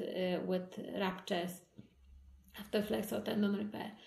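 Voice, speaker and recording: With audible room echo, the voice proceeds at a fairly slow pace and fairly even intonation. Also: woman. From Poland. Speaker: hand surgeon. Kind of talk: interview. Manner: halting.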